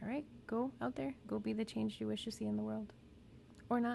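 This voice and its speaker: At a moderate pace, a woman mumbles. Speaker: therapist. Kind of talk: casual educational talk. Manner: mumbling; casual, conversational.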